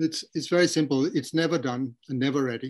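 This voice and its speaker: The background stays quiet. A man talks, his pitch varying in an ordinary way. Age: 60s. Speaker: Buddhist translator and dharma teacher. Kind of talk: interview Q&A. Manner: halting.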